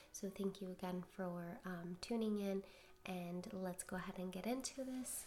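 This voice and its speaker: Soft-spoken, a woman talks at a moderate pace with fairly even intonation. There is noticeable background noise. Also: medium pitch for a woman. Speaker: tarot and oracle card reader. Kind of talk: spiritual card reading. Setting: home recording at night.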